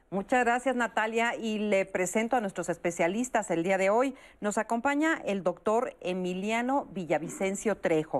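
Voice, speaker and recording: The speech moves at a moderate pace with hardly any pauses and ordinary pitch variation, against a quiet background. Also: woman, medium pitch for a woman. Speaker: TV talk show host. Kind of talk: talk show moderation. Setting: studio.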